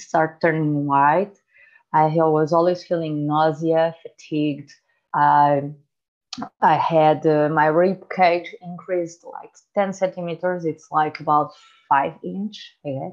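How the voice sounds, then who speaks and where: A woman's very deep, low voice with a non-native accent, very slow and flat in a monotone, with big swings in loudness. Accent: noticeable foreign. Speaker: health coach. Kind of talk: interview.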